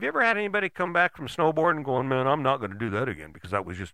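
A man's fairly high-pitched voice with vocal fry, very fast in pace and very wide in its pitch swings. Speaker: podcast host. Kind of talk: motivational monologue. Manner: direct, emphatic, drill-sergeant-like; conversational, repeats words.

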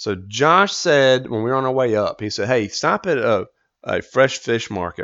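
A man with a North Carolina accent, medium pitch and lively intonation. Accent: US Southern (North Carolina). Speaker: podcast host. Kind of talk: casual monologue.

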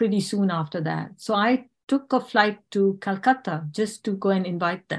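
This woman's voice is somewhat breathy and medium in pitch. She keeps a moderate speed, her pitch shifting in an ordinary way. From India and England, born in South Africa. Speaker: homeopath. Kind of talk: interview.

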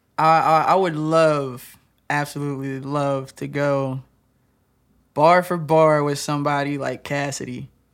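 A man with an American accent, fairly high pitch and monotone, flat intonation at a fairly slow pace, in a very clean recording with a silent background. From Michigan (Lansing). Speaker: rapper and dance teacher. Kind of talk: casual chat.

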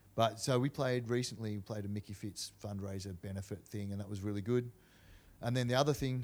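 In an Australian accent, a man with a fairly low pitch speaks at a fairly quick pace with fairly even intonation. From Australia, Canberra. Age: 40s. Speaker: hardcore punk musician. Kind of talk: casual chat.

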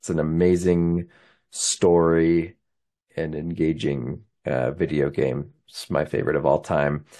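A man with a Utah accent and a very deep, low pitch talks at a fairly slow pace with fairly even intonation over a quiet background. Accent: Western US (Utah). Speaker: podcast host, amateur runner. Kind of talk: casual solo monologue, race recap. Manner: casual with many filler words.

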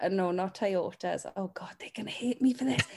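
A woman speaks in a South Wales accent at a medium pitch. The recording is very clean, with a silent background. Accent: Welsh valleys, sing-song. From Welsh valleys. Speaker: talent agent. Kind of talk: casual interview chat.

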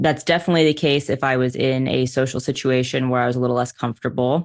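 A woman with an American accent speaks at a very fast pace and a very deep, low pitch. Her pitch varies in an ordinary way against a quiet background. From US, New York City. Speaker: race car driver and motivational speaker. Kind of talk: interview conversation.

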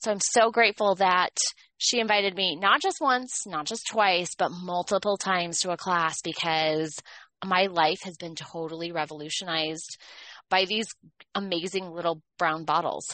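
Fairly low in pitch, this woman has an ordinary speaking voice with ordinary pitch variation. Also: moderate pace. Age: middle-aged. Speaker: podcast co-host, essential oil educator. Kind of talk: casual chat.

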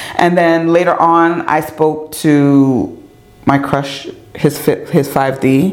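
A woman with an American accent and a very deep, low pitch, animated in tone and very even in loudness, amid noticeable background noise and audible room echo. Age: 40s. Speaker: podcast host and radio host. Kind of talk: casual interview chat.

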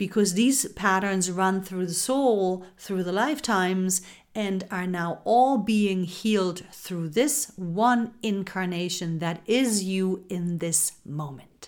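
Very slowly, a woman speaks in a medium pitch. Her tone is soothing and calm. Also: ordinary pitch variation. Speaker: spiritual podcast host. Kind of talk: guided meditation. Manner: slow, soothing, calm; gentle, intimate, affectionate.

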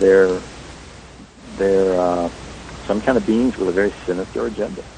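A man with an American accent speaks at a moderate pace in a very deep, low voice, with long, frequent pauses. His loudness swings widely, and noticeable background noise is present. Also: fairly even intonation. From US South, rural North Carolina. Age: 40s. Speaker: paranormal investigator and author. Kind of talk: interview.

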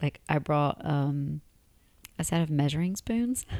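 A woman speaks with an American accent at a fairly slow pace. Her pitch is very deep and low. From Tennessee, US South. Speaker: podcast host, expat. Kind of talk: casual chat, podcast conversation.

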